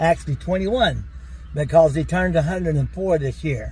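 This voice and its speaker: A man with an East Tennessee accent talks over noticeable background noise. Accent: East Tennessee Southern. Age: 60s. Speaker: lawn care business owner. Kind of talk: casual chat.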